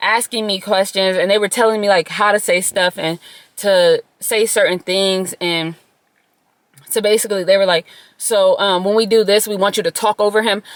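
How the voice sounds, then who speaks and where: Her medium-pitched voice keeps a fairly even intonation. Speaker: storytime vlogger. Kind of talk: casual storytime monologue. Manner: loud.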